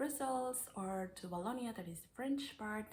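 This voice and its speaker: At a moderate pace, a woman speaks in a somewhat breathy voice with ordinary pitch variation. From Mexico. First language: Spanish. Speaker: au pair vlogger. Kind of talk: tutorial. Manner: hesitant, with fillers.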